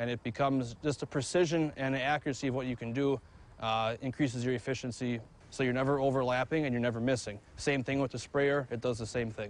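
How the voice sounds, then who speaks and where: In a Wisconsin accent, a man speaks at a very fast pace with fairly even intonation. The recording is dry, with no echo. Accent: Upper Midwest (Wisconsin). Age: 20s. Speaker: farmer. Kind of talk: interview. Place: farm machine. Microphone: lapel.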